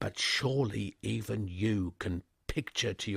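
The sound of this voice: An unforced reading voice carries the whole clip.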